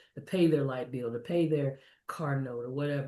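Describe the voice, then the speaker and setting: A woman with an American accent talks at a very fast pace, her tone dark and mellow. Her voice is somewhat breathy, with ordinary pitch variation. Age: 60s. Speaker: energy advisor. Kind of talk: interview.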